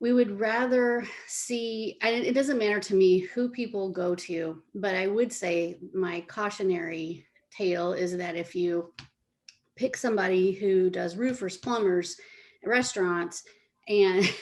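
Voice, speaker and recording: An unremarkable speaking voice, a woman's at medium pitch, with ordinary pitch variation and a fairly slow pace. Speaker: senior living marketer. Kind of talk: casual interview.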